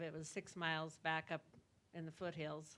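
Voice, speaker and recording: A woman's bright, sharp voice, fairly low in pitch, at a fairly slow pace. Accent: American. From Montana. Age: 60s. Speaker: rancher. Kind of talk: personal testimony at a panel event.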